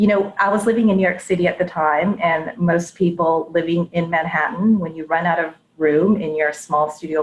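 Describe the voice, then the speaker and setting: A woman's normal speaking voice with an American accent, fairly low in pitch, at a moderate pace, with ordinary pitch variation. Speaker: head of data and analytics. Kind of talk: interview before live audience. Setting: live audience event.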